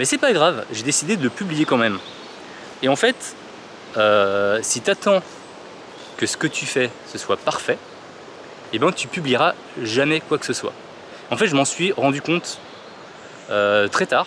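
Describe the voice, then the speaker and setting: With noticeable background noise, a man with a fairly high pitch talks at a fairly slow pace, his pitch swinging very widely between long, frequent pauses. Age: 30s. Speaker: podcaster. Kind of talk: casual vlog monologue.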